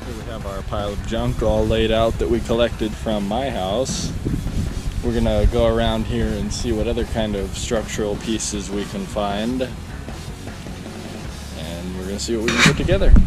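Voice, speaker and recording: With long, frequent pauses, a man speaks over noticeable background noise in a dry sound with no echo. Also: moderate pace. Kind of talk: casual vlog chat. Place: open country. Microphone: phone near.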